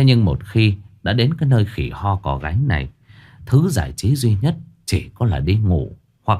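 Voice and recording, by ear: Someone is reading aloud in a natural voice here.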